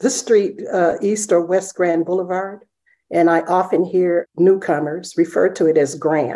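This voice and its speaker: Her tone is dark and mellow, and this woman speaks with an American accent. Her medium-pitched voice keeps a fairly even intonation at a fairly slow pace. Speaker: writer and presenter. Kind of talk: panel discussion.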